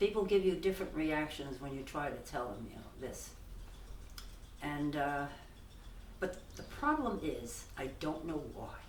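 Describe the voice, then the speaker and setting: A woman with an American accent speaks at a very deep, low pitch and a fairly slow pace, with long, frequent pauses. Her pitch varies in an ordinary way and her loudness swings widely, over noticeable background noise. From New York. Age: 80s+. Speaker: parishioner. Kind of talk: interview answer.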